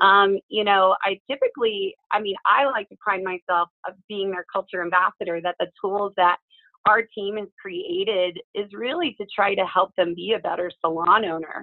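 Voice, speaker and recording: A woman speaks in a plain, everyday voice, with fairly even intonation, a medium pitch and a moderate pace. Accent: American. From small-town US. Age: 40s. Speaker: hair stylist and salon industry educator. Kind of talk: casual interview chat.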